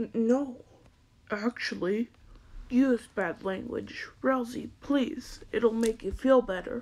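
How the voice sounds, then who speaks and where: A female-sounding put-on character voice with a high pitch speaks at a very slow pace. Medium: dub.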